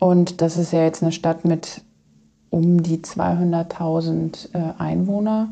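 A woman speaks at a fairly low pitch. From Germany, Kassel area (northern Hesse). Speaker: outreach worker with women in prostitution. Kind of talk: interview.

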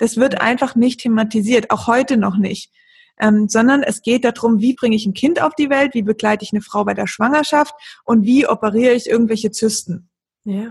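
A woman's somewhat breathy voice, fairly high in pitch. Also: ordinary pitch variation, moderate pace. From Lake Constance region, southern Germany. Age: 30s. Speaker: blogger on women's health. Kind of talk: podcast interview.

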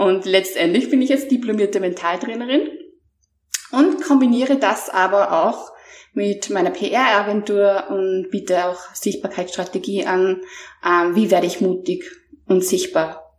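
A woman with an ordinary speaking voice talks at medium pitch and a fairly slow pace, with lively intonation. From Austria. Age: 30s. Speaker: mental trainer. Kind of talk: interview, personal testimony.

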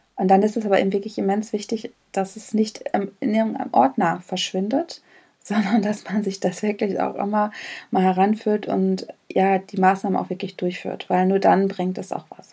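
A woman's voice sits at medium pitch with a dark, mellow tone and fairly even intonation. She keeps a moderate pace, while her loudness swings widely. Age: 40s. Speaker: leadership and personnel development manager. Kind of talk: casual interview.

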